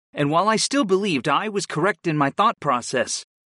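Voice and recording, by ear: The clip features reading aloud in a natural voice.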